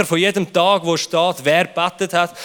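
In a Swiss accent, a man speaks at a moderate pace with an animated tone. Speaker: youth pastor. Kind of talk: sermon.

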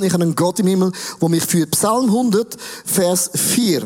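With a Swiss accent, a man speaks at a fairly slow pace in an animated tone against noticeable background noise. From Switzerland. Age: 50s. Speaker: pastor. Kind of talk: sermon.

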